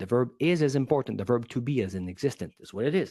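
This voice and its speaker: With a non-native accent, a man speaks at a fairly quick pace and uses lively intonation. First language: not English. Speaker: public speaking coach. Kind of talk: podcast interview. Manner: animated.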